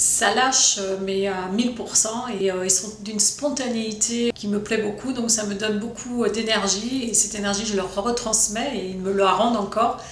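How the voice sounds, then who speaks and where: A woman's fairly high voice, with fairly even intonation, carries audible room echo and noticeable background noise. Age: 50s. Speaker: drama teacher. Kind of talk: promotional interview.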